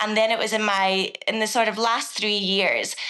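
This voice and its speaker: Here a woman speaks in a Scottish accent. Her pitch is fairly high, with ordinary variation. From Scotland, southwest coast. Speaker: agricultural consultant and former journalist. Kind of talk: podcast interview.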